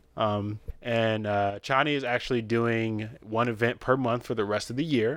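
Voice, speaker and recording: A plain, everyday voice from a man with an American accent, medium pitch, fairly even intonation, a moderate pace and hardly any pauses. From Detroit area, Michigan. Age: 20s. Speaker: podcast co-host. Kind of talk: casual chat.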